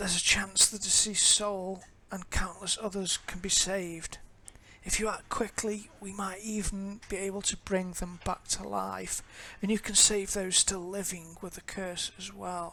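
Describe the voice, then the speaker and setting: A raspy, female-sounding put-on character voice at medium pitch moves at a moderate pace. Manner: urgent, persuasive.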